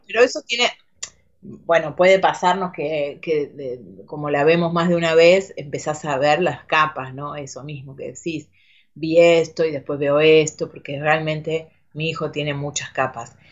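The speech moves at a fairly slow pace with fairly even intonation but big swings in loudness. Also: woman, very deep, low pitch for a woman. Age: 40s. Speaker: actress. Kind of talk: casual interview chat. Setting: studio. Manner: halting, repeats words.

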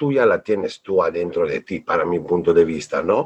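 A man with an Italian accent. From northern Italy (Bolzano). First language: Italian (speaking Spanish). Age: 40s. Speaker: creative director. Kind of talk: casual interview.

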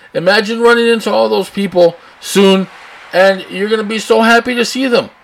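Someone with an American accent talks at a fairly quick pace with fairly even intonation over noticeable background noise. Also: man. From US South, Texas (Rio Grande Valley, Brownsville). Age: 40s. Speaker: podcast host. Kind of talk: editorial rant. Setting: home studio with open window, traffic noise. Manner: casual, unscripted.

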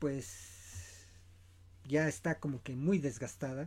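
A man's somewhat breathy, fairly high-pitched voice in a very clean recording with a silent background. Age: 40s. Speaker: podcast host, film commentator. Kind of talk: solo podcast commentary. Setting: home studio, self-produced.

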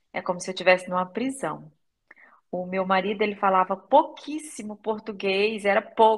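A woman with a plain, everyday voice talks at a moderate pace and medium pitch, with ordinary pitch variation. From Brazil, Maranhão. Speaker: language student giving testimonial. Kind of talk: testimony.

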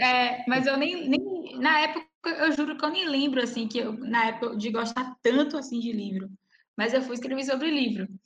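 High-pitched speech from a woman with ordinary pitch variation and audible room echo. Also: moderate pace. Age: 20s. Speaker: poet. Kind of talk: casual chat.

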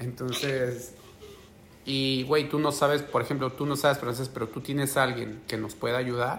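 This man's voice sits at a medium pitch and moves at a moderate pace. His intonation stays monotone and flat. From Mexico, Oaxaca. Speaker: podcaster. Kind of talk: casual chat. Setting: video call.

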